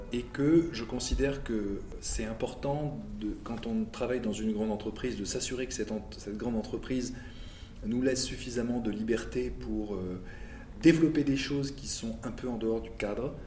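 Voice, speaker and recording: Man at medium pitch and moderate pace, with audible room echo. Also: ordinary pitch variation. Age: 50s. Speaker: car industry manager. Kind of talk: interview. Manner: halting, many repetitions and fillers.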